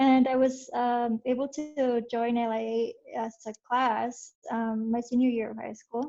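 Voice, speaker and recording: A woman with a Spanish accent speaks high for a woman in a dark, mellow tone. Her delivery is fairly slow and monotone, with hardly any pauses. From Mexico, raised in Utah from age nine. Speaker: software engineer, alumni panelist. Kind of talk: panel introduction, casual.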